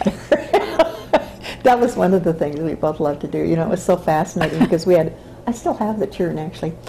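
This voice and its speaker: A woman talks at a very fast pace with lively intonation and a fairly low pitch. Light background noise can be heard. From Boulder, Colorado; Colorado. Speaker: interviewee. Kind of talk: interview answer. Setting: interviewee's home. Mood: warm, reminiscing, laughing at times. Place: home room.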